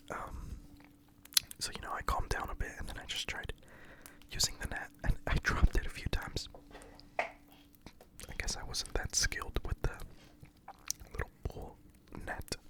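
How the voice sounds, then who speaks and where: Whispering at a moderate pace with long, frequent pauses, amid noticeable background noise. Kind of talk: ASMR story time. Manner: whispered.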